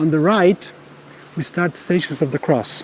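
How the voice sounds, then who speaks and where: Over noticeable background noise, a man with a Polish accent speaks at a moderate pace with fairly even intonation. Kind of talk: guided tour. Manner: halting.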